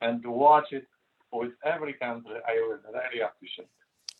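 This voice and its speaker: A man speaks with a Polish accent. His pitch is medium. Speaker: interview guest. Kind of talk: casual chat. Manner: halting.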